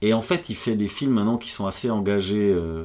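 A man's plain, everyday voice, fairly low and fairly quick, with ordinary pitch variation. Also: very clean recording, silent background. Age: 40s. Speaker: comedian. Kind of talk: casual chat. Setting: at home.

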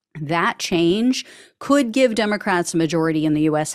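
With lively intonation, a woman with an ordinary speaking voice talks at a fairly low pitch. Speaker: podcast host. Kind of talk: news roundup read-through with light commentary. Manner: brisk, matter-of-fact delivery; dry, ironic asides.

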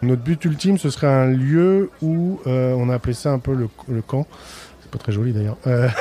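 With noticeable background noise, a man speaks at a moderate pace and medium pitch, showing ordinary pitch variation and big swings in loudness. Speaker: chef. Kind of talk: interview. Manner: halting.

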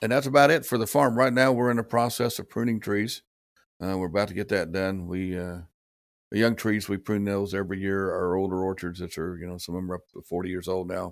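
A man at a very fast pace, his pitch fairly low. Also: ordinary pitch variation, very clean recording, silent background. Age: 60s. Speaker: pecan farmer. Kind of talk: casual interview. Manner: halting, filler-heavy.

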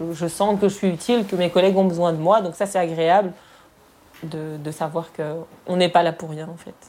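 In a normal speaking voice, a woman talks at a moderate pace with a fairly low pitch, fairly even intonation and big swings in loudness. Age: 30s. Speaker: hospital logistics aide. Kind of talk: interview testimony.

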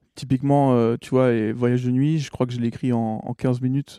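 A man speaks in a dark, mellow tone with fairly even intonation, the sound dry and close with no echo. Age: 20s. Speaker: singer-songwriter. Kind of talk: interview. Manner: halting, many hesitations.

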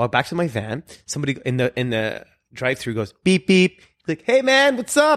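A man at a moderate pace in a dry, close sound with no echo. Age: 40s. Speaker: magician and guest co-host. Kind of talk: casual chat. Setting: at his home. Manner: animated.

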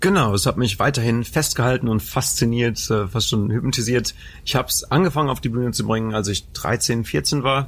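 A man with a medium-pitched voice and vocal fry talks at a fairly quick pace with ordinary pitch variation. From Germany, Lower Rhine area (Anholt/Bocholt). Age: 20s. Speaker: mentalist and hypnotist. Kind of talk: casual interview. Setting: theatre venue.

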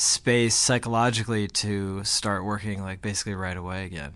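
A man with an American accent and an ordinary speaking voice talks at a fairly quick pace with ordinary pitch variation. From New Jersey (Glen Ridge). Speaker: rock band frontman. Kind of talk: interview.

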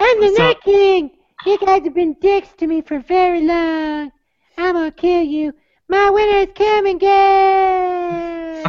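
An extremely high-pitched, put-on character voice. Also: fairly slow pace. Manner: menacing.

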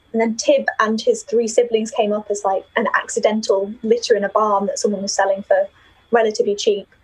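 A woman talks at a fairly quick pace. She has a slight northern English accent. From Yorkshire, northern England. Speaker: university student and knitter. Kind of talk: casual interview chat. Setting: video call from student accommodation.

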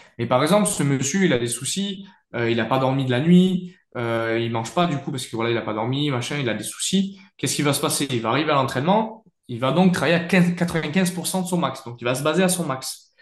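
The man speaks at a fairly high pitch and a fairly quick pace with lively intonation. There is audible room echo. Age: 20s. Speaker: powerlifting athlete and coach. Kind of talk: interview.

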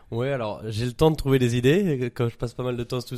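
The recording is very clean, with a silent background. A man speaks in a dark, mellow tone at a moderate pace, with ordinary pitch variation. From Paris, France. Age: 20s. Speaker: entrepreneur. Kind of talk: casual chat.

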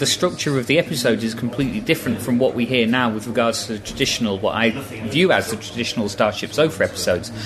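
A man rattles along at a very fast pace, his intonation lively, while noticeable background noise carries on. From northeast England, Newcastle. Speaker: transcription volunteer. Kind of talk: casual chat. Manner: hesitant.

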